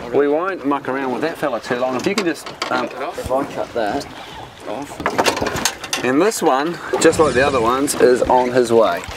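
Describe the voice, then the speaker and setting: A man with a New Zealand accent at a moderate pace, amid loud background noise. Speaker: fishing TV show host. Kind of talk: TV presenting with casual banter. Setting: outdoors on a boat. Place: boat.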